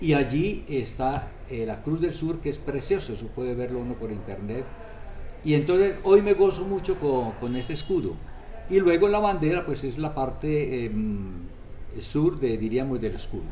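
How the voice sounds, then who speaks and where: A man with a fairly high pitch speaks at a moderate pace. Noticeable background noise and audible room echo are present. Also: lively intonation. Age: 80s+. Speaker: priest. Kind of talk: interview. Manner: halting.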